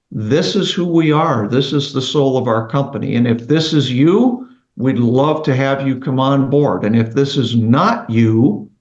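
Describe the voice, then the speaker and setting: In a normal speaking voice, a man talks fairly slowly at medium pitch, with ordinary pitch variation and very even loudness. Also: hardly any pauses. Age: 60s. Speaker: roofing company CEO. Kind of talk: interview podcast.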